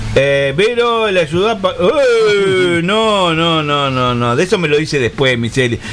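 Noticeable background noise sits under a man's high-pitched voice with very wide pitch swings. He speaks at a fairly slow pace, his loudness very even. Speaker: radio host. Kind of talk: casual chat. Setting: studio.

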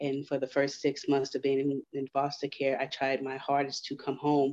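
A woman's very deep, low voice with a dark, mellow tone, flat monotone intonation and a moderate pace, in a dry, close sound with no echo. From Houston, Texas. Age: 30s. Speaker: author. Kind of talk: interview.

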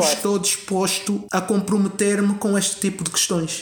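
A man's high-pitched voice at a moderate pace. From Angola. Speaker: actor. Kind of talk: podcast interview. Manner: halting, many fillers and repetitions.

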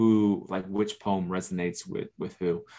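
A man with an American accent, very deep and low in pitch, with fairly even intonation. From US South, Orlando, Florida. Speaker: poet and author. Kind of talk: poetry reading; casual chat.

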